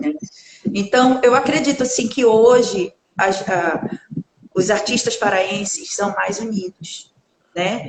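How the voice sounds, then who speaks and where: Here a woman speaks very slowly, with long, frequent pauses. Her pitch sits fairly high. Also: ordinary pitch variation. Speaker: singer. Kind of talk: interview. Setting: live stream.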